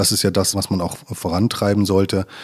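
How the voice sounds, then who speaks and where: A man talks in a monotone with flat intonation. The recording is very clean, with a silent background. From Ruhr area, Germany (Westphalia/Sauerland border). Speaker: environmental engineer at a utility company. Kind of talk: casual interview. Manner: hesitant, many filler sounds.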